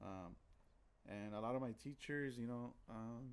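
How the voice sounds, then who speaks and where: A man talks with fairly even intonation. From US (grew up in the projects). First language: Spanish. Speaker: guest co-host. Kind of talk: casual chat. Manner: halting, many fillers and repeated words.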